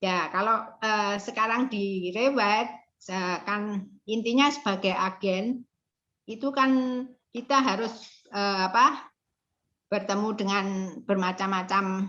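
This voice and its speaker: Long, frequent pauses from a woman at medium pitch, very slow pace and ordinary pitch variation. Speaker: property agent. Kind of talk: interview answer.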